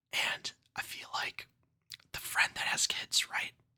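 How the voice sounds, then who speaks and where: Someone whispers at a fairly slow pace. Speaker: ASMR creator. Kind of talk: ASMR storytelling and commentary. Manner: casual, relaxed.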